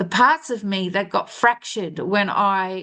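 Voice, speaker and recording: A woman with an Australian accent at medium pitch, with ordinary pitch variation and a very slow pace, over a quiet background. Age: 60s. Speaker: spiritual life coach. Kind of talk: spiritual monologue. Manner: halting with false starts.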